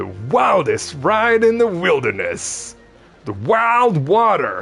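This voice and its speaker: In a put-on character voice, a man speaks at a very slow pace in a high pitch. Faint music plays in the background. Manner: drawling.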